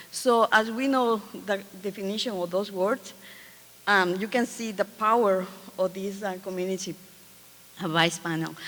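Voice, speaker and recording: Using long, frequent pauses, a woman with a Spanish accent speaks at a moderate pace and medium pitch with fairly even intonation. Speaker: community advisory panel facilitator. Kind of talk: conference presentation. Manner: halting.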